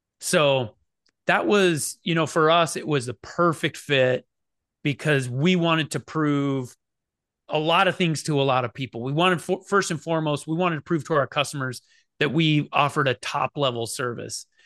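A man with an American accent and a normal speaking voice, fairly high in pitch with ordinary pitch variation, at a moderate pace, in a dry, close sound with no echo and a quiet background. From eastern Oregon, near the Idaho border. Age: 40s. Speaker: business founder and CEO. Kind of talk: interview.

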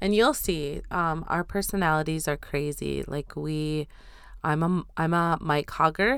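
Speech moves at a fairly slow pace with ordinary pitch variation. The recording is very clean, with a silent background. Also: woman, very deep, low pitch for a woman. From Standing Rock, North Dakota. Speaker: podcast host, PhD student. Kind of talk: casual chat.

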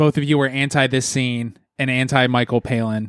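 The man here has an ordinary speaking voice and a medium pitch, talking at a moderate pace. The recording is very clean, dry and close, with no echo and a silent background. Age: 30s. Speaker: podcast host. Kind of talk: casual chat.

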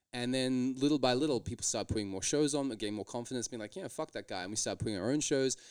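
A man with an Australian accent and medium pitch speaks very fast with hardly any pauses in a very clean recording with a silent background. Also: ordinary pitch variation. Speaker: stand-up comedian. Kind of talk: casual chat.

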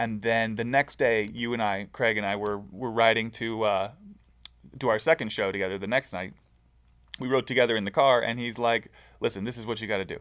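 A man's ordinary speaking voice with an American accent, medium in pitch, fairly even in intonation, at a moderate pace. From Southern California. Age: 30s. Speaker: aspiring comedian. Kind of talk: casual chat.

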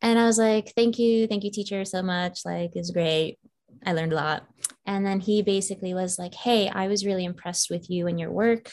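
A woman speaks fairly quickly with an American accent. Her pitch sits in the medium range. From Northern Virginia, US. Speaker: film writer and director. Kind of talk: casual interview chat. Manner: animated.

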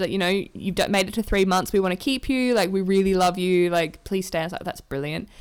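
A woman speaks with an Australian accent at a medium pitch with ordinary pitch variation. The recording is very clean with a silent background. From Australia, Adelaide. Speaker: theatre designer and illustrator. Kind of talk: casual chat.

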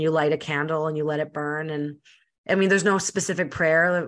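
A woman with a Canadian accent talks at a fairly quick pace and a fairly low pitch. Her pitch varies in an ordinary way against a quiet background. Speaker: podcast host and speaker. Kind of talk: casual chat. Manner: fast talker.

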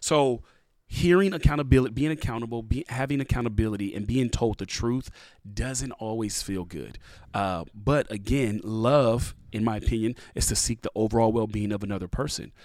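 A man's normal speaking voice of medium pitch, ordinary pitch variation and moderate pace. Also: very clean recording, silent background. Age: 30s. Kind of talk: casual interview.

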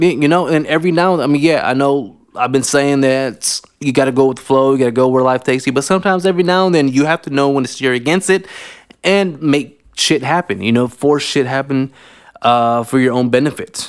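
With an American accent, a man talks in a normal speaking voice at a fairly high pitch and fairly quick pace, with ordinary pitch variation. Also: very clean recording, silent background. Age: 30s. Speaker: podcast host. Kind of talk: casual monologue. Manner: casual, filler-heavy.

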